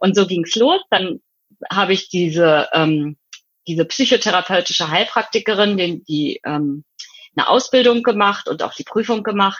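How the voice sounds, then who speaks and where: Here a woman at a medium pitch talks at a moderate pace in an unremarkable speaking voice. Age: 50s. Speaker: psychotherapeutic practitioner and hypnotherapist. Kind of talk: interview.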